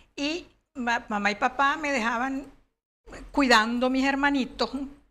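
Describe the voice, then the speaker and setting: A woman's bright, sharp tone at a fairly slow pace. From Venezuela, Barquisimeto; Venezuela. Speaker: children's author; interviewee. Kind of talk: interview. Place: studio. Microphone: lapel.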